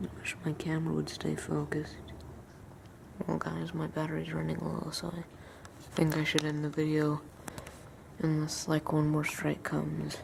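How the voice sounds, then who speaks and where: A woman speaks quietly with long, frequent pauses over noticeable background noise. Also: moderate pace. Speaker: outdoor vlogger. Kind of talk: casual vlog narration. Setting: outdoors at night in a thunderstorm. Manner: quiet, hushed.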